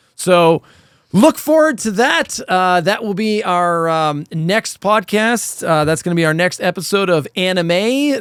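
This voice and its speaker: A man talks loudly at a high pitch and a fairly slow pace. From Canada. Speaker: podcast host. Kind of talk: casual chat.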